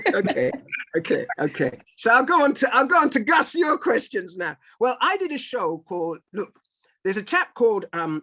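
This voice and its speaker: A man's raised, projected voice, extremely high in pitch with very wide pitch swings and a bright, sharp tone. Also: moderate pace, dry, close sound with no echo. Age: 50s. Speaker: music and TV producer. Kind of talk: interview conversation. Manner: animated.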